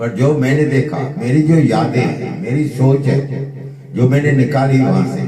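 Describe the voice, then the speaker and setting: Noticeable background noise surrounds a man's voice. The room adds audible echo. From India, Gandhidham, Kutch (Gujarat), Sindhi community. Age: 70s. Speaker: pandit sharing life memories. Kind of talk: personal reminiscence monologue.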